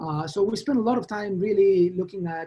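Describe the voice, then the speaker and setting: Talking at a fairly quick pace, a man speaks with a strong Argentine accent. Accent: Argentine Spanish accent, thick. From Argentina. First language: Spanish. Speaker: professor. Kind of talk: lecture. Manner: halting, many fillers.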